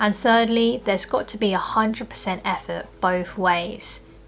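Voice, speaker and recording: Music plays in the background while a woman talks with a British accent. She keeps a moderate pace and fairly even intonation. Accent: British-accented Asian speaker. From Philippines. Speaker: personal trainer and lifestyle vlogger. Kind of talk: casual talk to camera.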